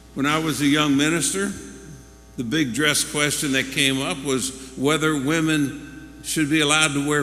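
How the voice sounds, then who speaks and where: Music plays in the background as a man speaks at a fairly slow pace in a fairly high pitch, with audible room echo. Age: 70s. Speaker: pastor. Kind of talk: sermon. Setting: church.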